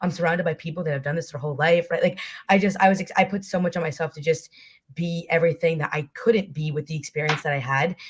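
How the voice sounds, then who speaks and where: A woman, somewhat breathy, at a very fast pace. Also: fairly low pitch for a woman, fairly even intonation. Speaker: college rower. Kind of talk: panel discussion.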